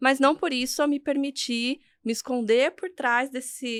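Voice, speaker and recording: A woman speaks with a Brazilian accent in a very clean recording with a silent background. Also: dry, close sound with no echo. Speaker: career and leadership coach. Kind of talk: podcast interview.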